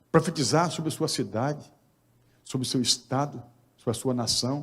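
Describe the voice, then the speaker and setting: A man with a fairly high pitch and a somewhat breathy voice speaks at a moderate pace, his pitch varying in an ordinary way. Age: 60s. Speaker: pastor. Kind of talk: sermon.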